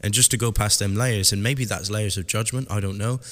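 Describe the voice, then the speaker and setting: With a Southwest English accent, a man speaks in a fairly low pitch and fairly even intonation on a very clean recording with a silent background. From Southwest England. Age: 30s. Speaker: podcast host, hairdressing educator. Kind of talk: solo podcast monologue.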